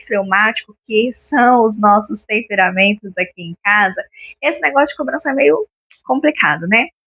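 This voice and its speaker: The tone is bright and sharp, with very wide pitch swings. The sound is dry and close, with no echo. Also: woman. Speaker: lifestyle vlogger. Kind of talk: casual home vlog talk. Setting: at home.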